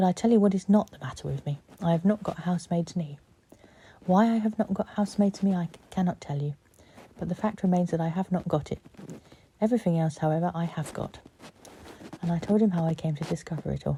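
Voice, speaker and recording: In a somewhat breathy, dark, mellow tone at a fairly low pitch, a woman speaks at a very fast pace with ordinary pitch variation but long, frequent pauses. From Cornwall, England. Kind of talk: sleep story. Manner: soft-spoken, soothing.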